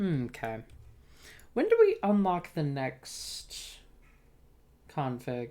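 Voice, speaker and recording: Soft-spoken and very slow, a woman talks with long, frequent pauses on a very clean recording with a silent background. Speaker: video game streamer. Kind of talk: live gameplay stream commentary. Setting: live stream.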